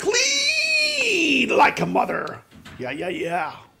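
Someone speaks very slowly in a put-on character voice over light background noise. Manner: gruff, swaggering. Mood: joking, laughing.

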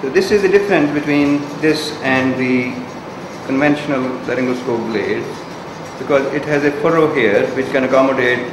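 Noticeable background noise sits under speech delivered at a moderate pace. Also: man. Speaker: clinician demonstrating equipment. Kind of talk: tutorial. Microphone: camera far.

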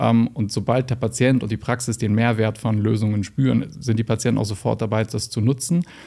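A man with a dark, mellow tone and vocal fry talks at a fairly quick pace with hardly any pauses, fairly even intonation and very even loudness over a quiet background. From northern Germany, Lüneburg Heath; northern Germany. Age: young. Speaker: general practitioner; guest. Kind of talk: interview. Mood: calm, engaged, explanatory. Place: studio. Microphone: studio mic.

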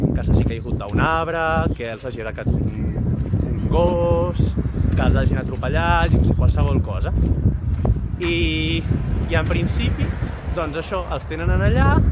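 A man speaks at a fairly slow pace, leaving long, frequent pauses. The sound is dry with no echo, though the background noise is loud. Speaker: travel vlogger. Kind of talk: casual vlog chat. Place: street. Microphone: phone near.

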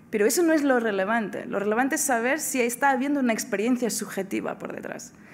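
Speaking at a very fast pace with hardly any pauses, a woman uses a high pitch and ordinary pitch variation. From Portugal. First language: Portuguese (speaking Spanish). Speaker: philosophy professor; lecturer. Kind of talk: lecture. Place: hall. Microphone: podium.

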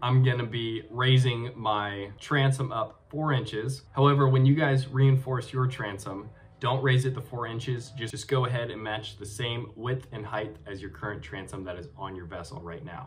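A somewhat breathy man's voice at a moderate pace, with big swings in loudness, ordinary pitch variation and light background noise. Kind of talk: casual vlog chat. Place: home room. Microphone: webcam.

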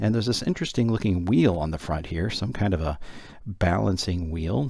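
A man's very deep, low voice at a moderate pace, lively in intonation, dry with no echo, over a quiet background. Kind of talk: tutorial commentary. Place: home room. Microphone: phone near.

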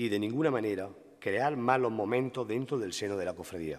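A man in an Andalusian accent, fairly quick and with lively intonation, over a quiet background. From Linares, Andalusia, Spain; Andalusia, Spain. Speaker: devotional poet orator giving the festival proclamation. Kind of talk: solemn poetic proclamation, rhymed devotional verse delivered as oratory. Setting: stage with audience. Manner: rhetorical, fervent, rhythmic with lyrical cadence; emotional, reverent. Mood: solemn, devotional, emotive. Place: stage. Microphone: podium.

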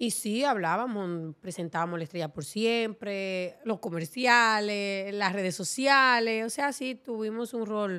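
Over a quiet background, a woman talks with a bright, sharp tone and ordinary pitch variation. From Dominican Republic, Montecristi; Dominican Republic. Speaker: TV presenter. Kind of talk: casual interview. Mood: relaxed, candid. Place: studio. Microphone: studio mic.

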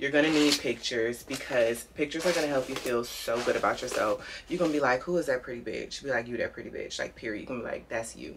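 The speech comes very fast with ordinary pitch variation. Noticeable background noise sits behind it. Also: woman. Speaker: beauty vlogger. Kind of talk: casual chat. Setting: home video recording. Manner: animated. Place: home room. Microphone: phone near.

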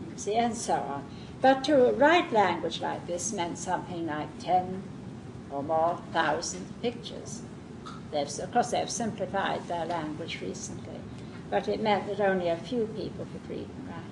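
There is noticeable background noise behind this woman's fairly low voice. Her intonation is lively, and her loudness swings widely. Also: moderate pace. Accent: southern English. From southern England. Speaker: Montessori teacher trainer. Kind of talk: lecture. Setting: classroom with live audience.

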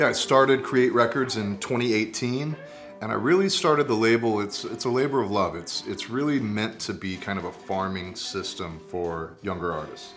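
A moderate pace over faint music in the background. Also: man. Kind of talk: interview answer. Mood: relaxed, reflective. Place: home room.

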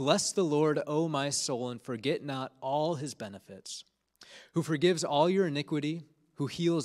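A man at a moderate pace, with ordinary pitch variation, against a quiet background. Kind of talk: sermon. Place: church. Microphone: handheld.

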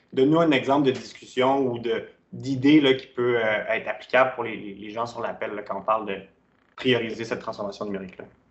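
A man at a medium pitch with a Quebec accent, a fairly quick pace and fairly even intonation. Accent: Québécois French. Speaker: webinar host. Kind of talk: interview. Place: home room. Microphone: webcam.

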